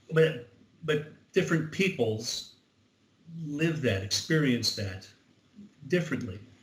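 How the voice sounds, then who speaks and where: With an American accent, a man speaks at a fairly slow pace with lively intonation and long, frequent pauses, and audible room echo surrounds his voice. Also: fairly high pitch for a man. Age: 70s. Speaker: Civil War reenactment organizer. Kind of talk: interview. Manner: halting.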